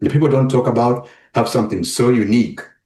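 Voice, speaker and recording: A man's somewhat breathy voice. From Uganda. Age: 40s. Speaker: web developer and travel advisor. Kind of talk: podcast interview. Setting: podcast.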